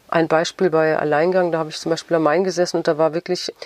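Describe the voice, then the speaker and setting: Over noticeable background noise, a woman with a fairly low pitch speaks very fast in a monotone, flat delivery, the sound dry and close with no echo. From Frankfurt, Germany. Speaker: novelist. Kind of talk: interview.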